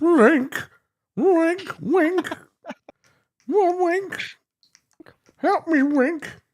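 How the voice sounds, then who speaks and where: A put-on character voice, breathy and extremely high in pitch, carries the speech. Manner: breathy, pleading.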